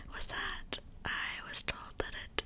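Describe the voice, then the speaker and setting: The speaker is a woman, whispering. Behind her, background noise is noticeable. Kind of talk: ASMR personal attention. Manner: whispered; soft-spoken, gentle.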